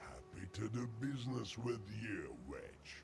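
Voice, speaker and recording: Putting on a character voice at a fairly slow pace, a man with a medium pitch speaks over clear background noise. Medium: video game. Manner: sly, bargaining.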